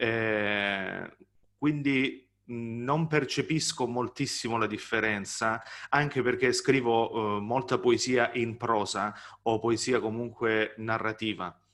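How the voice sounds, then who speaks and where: Over a quiet background, a man talks at a very slow pace and medium pitch with fairly even intonation. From southern Italy, Salento near Gallipoli. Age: 30s. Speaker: novelist and poet. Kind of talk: author interview. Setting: video call.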